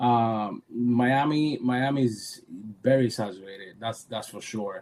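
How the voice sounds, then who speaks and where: With a Cuban accent, a man speaks at a fairly slow pace and medium pitch, his intonation fairly even but his loudness swinging widely. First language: Spanish. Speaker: photographer. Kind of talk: interview. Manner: repeats words, halting.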